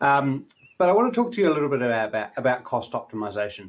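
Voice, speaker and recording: A man in a New Zealand accent, with lively intonation, at a very fast pace. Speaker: technology analyst and commentator. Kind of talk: keynote talk. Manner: halting, many fillers.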